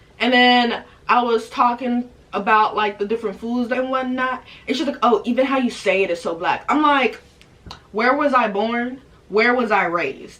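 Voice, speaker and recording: An animated speaker with an American accent talks at a moderate pace, with ordinary pitch variation. Noticeable background noise is present. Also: woman, high pitch for a woman. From United States. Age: 20s. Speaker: vlogger. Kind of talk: casual monologue.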